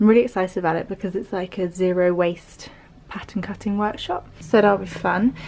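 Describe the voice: A woman's slightly mellow tone with vocal fry at a fairly quick pace. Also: medium pitch for a woman, ordinary pitch variation.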